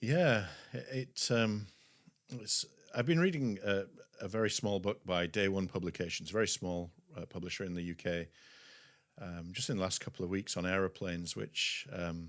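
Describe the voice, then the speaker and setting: With a Yorkshire accent, a man speaks at a moderate pace in a very deep, low pitch. His pitch varies in an ordinary way, and he takes long, frequent pauses. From West Yorkshire, England. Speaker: pastor and publishing CEO. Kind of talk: podcast interview, testimony.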